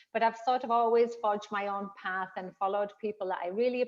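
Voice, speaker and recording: Speaking with a northern English accent, a woman uses a medium pitch, ordinary pitch variation and a fairly quick pace. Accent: northern English accent, noticeable. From northern England. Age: 50s. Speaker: fitness trainer. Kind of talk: interview conversation.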